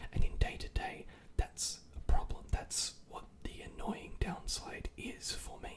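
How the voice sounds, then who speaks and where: The voice is a whisper, moving fairly slowly. Background noise is clearly noticeable. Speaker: ASMR content creator. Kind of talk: whispered ASMR rant to camera. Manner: whispered, close-mic, conversational.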